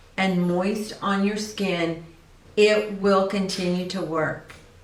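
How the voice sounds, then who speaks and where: A woman speaks at a medium pitch. Audible room echo and noticeable background noise fill the recording. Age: 60s. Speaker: esthetician. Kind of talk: tutorial. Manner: casual.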